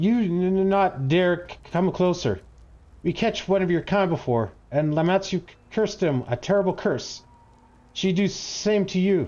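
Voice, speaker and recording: A man's put-on character voice, high-pitched and shaky, at a moderate pace. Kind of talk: broken, simple grammar. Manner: fearful, stammering.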